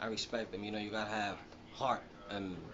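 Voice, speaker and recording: A man with a Dominican accent, audible room echo and noticeable background noise. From Dominican Republic (Yamasá, near Santo Domingo). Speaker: professional boxer. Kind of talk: interview. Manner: halting, many fillers.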